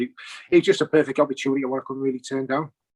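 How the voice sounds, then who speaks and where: With a strong Teesside accent, a man talks at medium pitch in a dry, close sound with no echo. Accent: Teesside, still strong. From northern England, Teesside (Stockton). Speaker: football player-coach. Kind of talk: interview.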